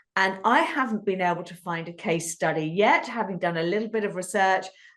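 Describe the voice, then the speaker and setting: A woman with a British accent speaks at medium pitch and a moderate pace against a quiet background. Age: 50s. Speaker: podcast host. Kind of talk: casual interview chat. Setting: podcast.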